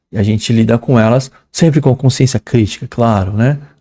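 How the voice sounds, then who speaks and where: A man with a dark, mellow, somewhat breathy tone speaks at a moderate pace, the sound dry and close with no echo. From São Paulo, Brazil. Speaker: English teacher. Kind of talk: lecture. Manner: casual, conversational.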